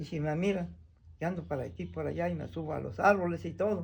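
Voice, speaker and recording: A moderate pace carries the speech, and audible room echo can be heard. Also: man. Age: 80s+. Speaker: traditional healer. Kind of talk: demonstration talk.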